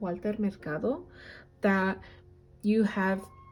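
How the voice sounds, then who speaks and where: Over noticeable background noise, a woman at medium pitch speaks at a moderate pace with ordinary pitch variation. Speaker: tarot reader. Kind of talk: tarot reading. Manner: halting.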